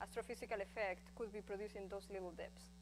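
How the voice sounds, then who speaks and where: A woman talks with a strong Spanish accent. Her pace is fairly quick. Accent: thick Spanish. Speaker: astrophysicist. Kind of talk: lecture.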